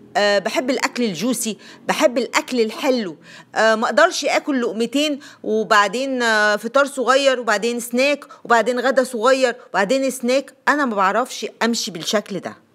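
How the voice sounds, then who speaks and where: With an Egyptian accent, a woman speaks at a fairly slow pace in a high pitch, on a very clean recording with a silent background. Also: ordinary pitch variation. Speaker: lifestyle YouTuber. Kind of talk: vlog monologue, personal weight-loss story and tips. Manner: chatty, conversational.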